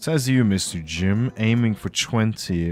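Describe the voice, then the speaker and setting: With music in the background, a man talks, his pitch varying in an ordinary way. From Norway. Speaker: streamer. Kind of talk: casual live gaming commentary. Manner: halting, many fillers and repeats.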